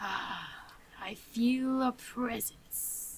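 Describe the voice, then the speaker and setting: A woman's high-pitched, put-on character voice. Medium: actual play. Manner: creepy, refers to itself as little me.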